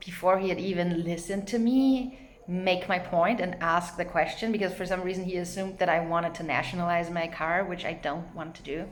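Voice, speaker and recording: With a non-native accent, a woman speaks at a medium pitch and fairly even intonation, with audible room echo and noticeable background noise. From not US or Canada. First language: not English. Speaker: vlogger. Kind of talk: casual monologue. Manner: hesitant, many fillers.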